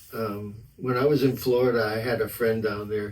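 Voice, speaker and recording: A man with an American accent talks at a fairly slow pace and a medium pitch, his intonation monotone and flat, with audible room echo around him. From South Texas, near Brownsville. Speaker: musician. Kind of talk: casual chat.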